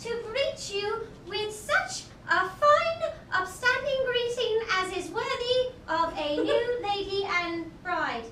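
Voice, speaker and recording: A squeaky put-on character voice with lively intonation at a very slow pace, amid clear background noise and slight echo. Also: woman, extremely high pitch for a woman. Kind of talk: mock-Shakespearean comic acting. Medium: stage play.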